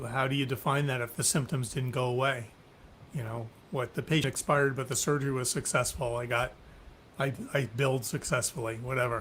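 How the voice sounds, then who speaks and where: This man has a normal speaking voice, pitched in the middle of the male range. He talks at a fairly quick pace with fairly even intonation. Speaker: physician, webinar host. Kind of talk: webinar interview host talk.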